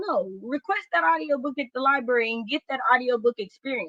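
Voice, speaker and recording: A woman with an American accent talks at a moderate pace, her high pitch carrying lively intonation. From US South (Oklahoma/Texas area). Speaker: book YouTuber and Twitch streamer. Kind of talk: casual book discussion livestream.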